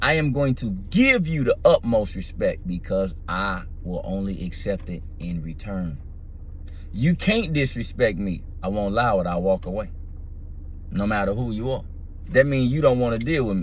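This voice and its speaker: At a moderate pace, a man with a medium-pitched voice talks with lively intonation, and room echo is audible. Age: 50s. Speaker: vlogger. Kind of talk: casual monologue.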